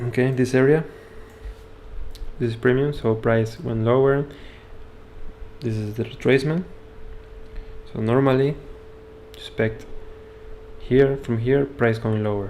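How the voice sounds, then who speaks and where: A man's medium-pitched voice, fairly slow and fairly even in intonation, broken by long, frequent pauses. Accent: Spanish. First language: Spanish. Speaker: trading educator. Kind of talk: live stream trading analysis. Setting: live stream with screen share. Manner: halting.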